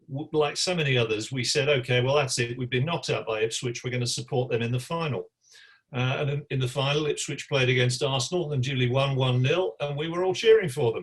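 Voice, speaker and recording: A man's somewhat breathy, medium-pitched voice with ordinary pitch variation at a very fast pace. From West Midlands, England (West Bromwich). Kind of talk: press conference. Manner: halting, with fillers and repeats.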